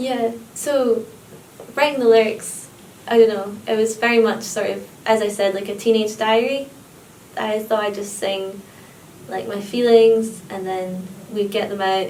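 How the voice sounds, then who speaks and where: A woman's fairly high voice at a moderate pace, with fairly even intonation, long, frequent pauses, big swings in loudness, audible room echo and noticeable background noise. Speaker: singer and lyricist. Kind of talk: interview.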